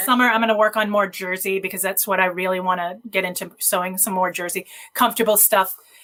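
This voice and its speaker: A woman at medium pitch speaks very fast in a monotone, flat way against noticeable background noise. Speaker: photographer. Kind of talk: podcast interview answer.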